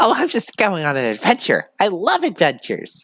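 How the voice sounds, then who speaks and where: At a moderate pace and a middle pitch, the speaker uses a put-on character voice. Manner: playful, cheerful.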